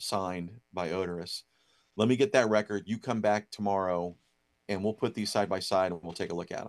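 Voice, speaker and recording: A man with an American accent talks in a normal speaking voice at a fairly quick pace and fairly even intonation, against a quiet background. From Ohio, near Dayton. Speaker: record store owner. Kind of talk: interview.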